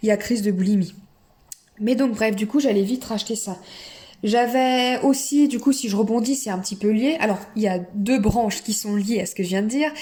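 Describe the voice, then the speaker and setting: At a moderate pace, the delivery shows ordinary pitch variation. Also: woman, fairly high pitch for a woman. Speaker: eating disorder recovery vlogger. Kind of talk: personal testimony. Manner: hesitant, many fillers.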